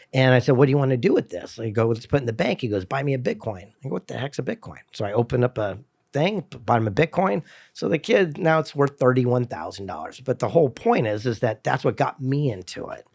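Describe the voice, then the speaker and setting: A man talks at a very fast pace in a medium pitch with lively intonation, his dry, close sound carrying no echo on a very clean recording with a silent background. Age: 60s. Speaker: motivational speaker and author. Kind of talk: casual chat.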